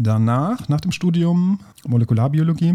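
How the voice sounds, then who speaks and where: A man's lively intonation at a fairly slow pace, over noticeable background noise. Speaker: teacher and podcast host. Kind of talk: casual science chat.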